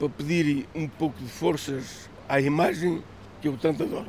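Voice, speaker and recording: A man is speaking. His pace is fairly slow. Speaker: fisherman. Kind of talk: interview testimony.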